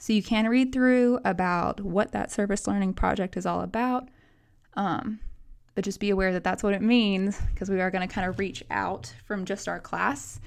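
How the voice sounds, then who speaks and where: A woman with an American accent and ordinary pitch variation on a very clean recording with a silent background. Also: medium pitch for a woman. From US South, Nashville, Tennessee. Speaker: college instructor. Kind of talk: course introduction video lecture. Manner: fast; animated.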